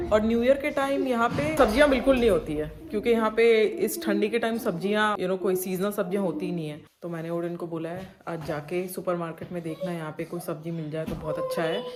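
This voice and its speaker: With lively intonation at a medium pitch, a woman talks amid noticeable background noise. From India. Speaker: vlogger. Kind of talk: travel vlog narration.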